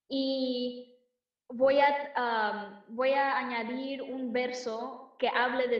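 A high-pitched woman with an American accent and fairly even intonation, heard with audible room echo. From United States, Mexican-American. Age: 20s. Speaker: singer-songwriter. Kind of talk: casual interview chat.

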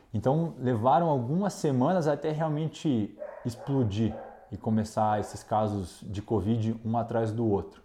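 A man speaks at a fairly slow pace in a dark, mellow tone. His intonation is lively. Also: medium pitch for a man. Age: 30s. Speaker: intensive care doctor. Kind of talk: interview testimony.

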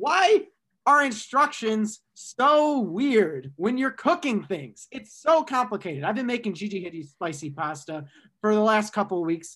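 With an American accent, a man uses a raised, projected voice, bright and sharp in tone, at a moderate pace. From Michigan, US Midwest. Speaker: student podcast host. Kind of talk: casual chat.

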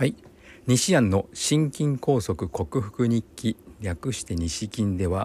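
This man's medium-pitched voice is dark, mellow and somewhat breathy, with lively intonation at a very slow pace. The recording is very clean, with a silent background and a dry, close sound with no echo. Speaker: physical therapist and podcast host. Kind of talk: solo podcast monologue.

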